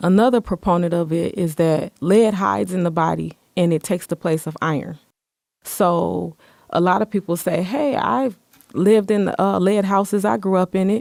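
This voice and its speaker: On a very clean, dry and close recording with a silent background and no echo, a woman with an unremarkable speaking voice and an American accent talks at a moderate pace, her fairly low pitch showing ordinary variation. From Michigan, Muskegon. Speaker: city department director. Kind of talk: interview.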